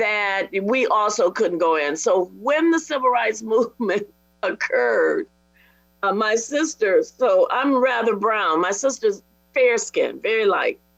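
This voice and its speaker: A woman's fairly high voice with an American accent, lively intonation and a fairly slow pace, with music in the background. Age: 70s. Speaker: panelist. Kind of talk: panel discussion.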